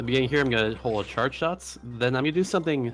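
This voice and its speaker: With music going on behind him, a man talks using normal ups and downs in pitch. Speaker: speedrunner commentating his own run. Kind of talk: live gameplay commentary. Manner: fast.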